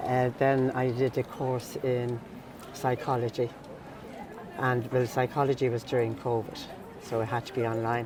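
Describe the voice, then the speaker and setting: A woman's very deep, low voice in a Dublin accent, monotone and flat in intonation at a fairly slow pace, with crowd noise in the background. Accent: Irish, Dublin. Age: 60s. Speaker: mature student and mentor. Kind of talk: personal testimony.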